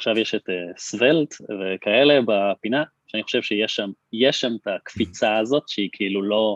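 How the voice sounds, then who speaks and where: A man's fairly low, unremarkable speaking voice at a moderate pace, with ordinary pitch variation. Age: 30s. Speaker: startup CTO and co-founder. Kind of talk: podcast interview.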